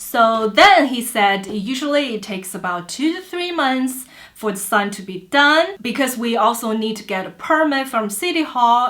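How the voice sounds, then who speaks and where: A woman's bright, sharp tone in a Chinese accent, with lively intonation. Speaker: vlogger. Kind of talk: storytelling. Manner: halting.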